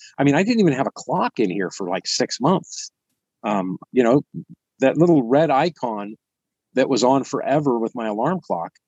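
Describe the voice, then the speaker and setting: A man with a West Coast US accent at a moderate pace and medium pitch, very wide pitch swings, dry and close with no echo, over a quiet background. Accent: General American, West Coast. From US West Coast, San Francisco Bay Area. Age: 50s. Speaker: YouTuber living off grid. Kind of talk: podcast interview.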